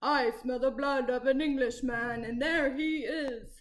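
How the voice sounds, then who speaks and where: Bellowing in a put-on character voice, the speaker sounds female and pitched high. The pace is fairly slow. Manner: roaring, menacing.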